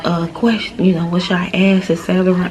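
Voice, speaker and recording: Noticeable background noise surrounds this speaker. She is a woman with a medium pitch. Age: 20s. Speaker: vlogger, stay-at-home mom. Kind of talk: casual vlog Q&A.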